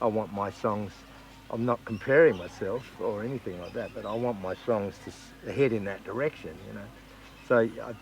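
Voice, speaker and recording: Speaking with an Australian accent, a man keeps a moderate pace and ordinary pitch variation. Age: 60s. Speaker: country singer-songwriter. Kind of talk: interview. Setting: music festival.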